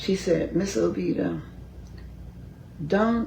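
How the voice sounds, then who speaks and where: A woman talks with an American accent. There is audible room echo and noticeable background noise. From Philadelphia. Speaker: county commissioner. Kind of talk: interview, personal story.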